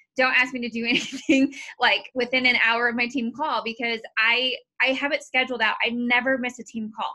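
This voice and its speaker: A woman's high-pitched, monotone, flat delivery at a fairly quick pace against a quiet background. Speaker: team coach. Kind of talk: motivational team call talk. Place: home room. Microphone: video call.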